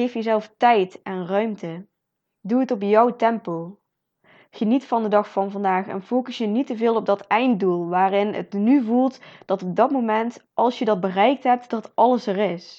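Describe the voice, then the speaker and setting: With a quiet background, a woman in an unremarkable speaking voice talks at a fairly slow pace, her pitch fairly high with ordinary variation. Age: 20s. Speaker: podcast host, motivational speaker. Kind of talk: motivational monologue.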